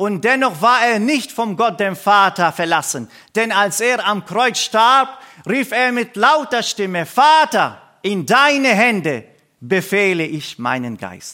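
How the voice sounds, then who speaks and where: In a Middle Eastern accent, a man with a high pitch and a bright, sharp tone speaks in a raised, projected voice at a very slow pace, his intonation lively. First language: Aramaic (speaking German). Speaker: pastor and missionary. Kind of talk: sermon. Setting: church service.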